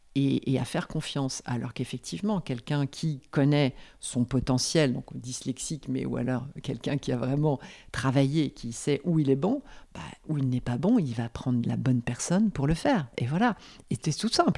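Against a silent background in a very clean recording, a woman speaks at a moderate pace with a very deep, low pitch, a dark, mellow tone, vocal fry and ordinary pitch variation. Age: 50s. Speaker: business growth consultant. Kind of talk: interview conversation. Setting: at the guest's home. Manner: halting, many repetitions and fillers.

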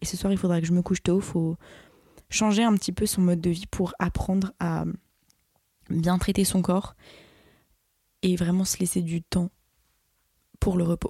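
A woman speaks at a moderate pace in a dark, mellow, somewhat breathy tone and a flat monotone, with long, frequent pauses, in dry, close sound with no echo. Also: fairly low pitch for a woman. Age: young. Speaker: podcast host and social media creator. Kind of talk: casual solo monologue.

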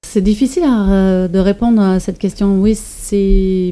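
This woman talks at a medium pitch with a German accent, her intonation fairly even and her tone dark and mellow. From Germany. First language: German (speaking French). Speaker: environmental educator. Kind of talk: interview. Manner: hesitant, many fillers.

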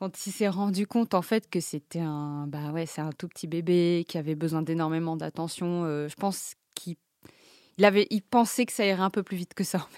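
A woman with a fairly low pitch speaks at a moderate pace with ordinary pitch variation. The sound is dry and close with no echo, on a very clean recording with a silent background. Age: 30s. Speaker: mother sharing parenting experience. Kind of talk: personal testimony. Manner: hesitant, with fillers and repetitions.

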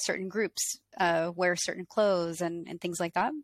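In an American accent, a woman with an unremarkable speaking voice talks at medium pitch with fairly even intonation, recorded very cleanly against a silent background with a dry, close sound and no echo. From Colorado, US. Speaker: painter and video artist, interviewer. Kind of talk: casual interview, asking questions.

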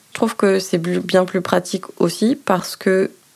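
A woman talks at a fairly slow pace. Her pitch is fairly low. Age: 30s. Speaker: nurse. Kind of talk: interview testimony. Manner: hesitant, with fillers.

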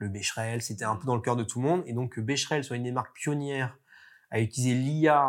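On a very clean recording with a silent background, a man with a medium pitch talks at a fairly quick pace with ordinary pitch variation. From France. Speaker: marketing agency executive. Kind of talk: interview. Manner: hesitant, many fillers.

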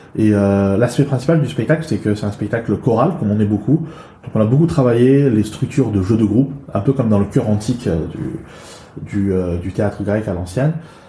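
Amid noticeable background noise, a man speaks at a moderate pace with lively intonation. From China, moved to France at 11. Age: 40s. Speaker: improv actor and trainer. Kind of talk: interview.

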